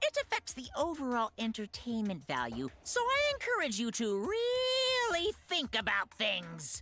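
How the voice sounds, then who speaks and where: A put-on character voice that sounds female, with a playful tone. It moves at a moderate pace with hardly any pauses. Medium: video game. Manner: playful, mocking.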